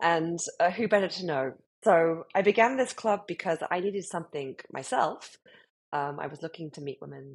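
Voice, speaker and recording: With a British accent, a woman with a fairly low voice speaks in lively intonation against a quiet background. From UK. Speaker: club founder. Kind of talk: interview.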